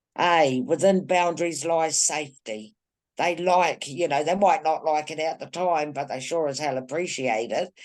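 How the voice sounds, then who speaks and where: Pitched very deep and low, a woman speaks at a moderate pace with a New Zealand accent. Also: ordinary pitch variation. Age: 60s. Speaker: women's group activist. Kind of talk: casual chat. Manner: animated.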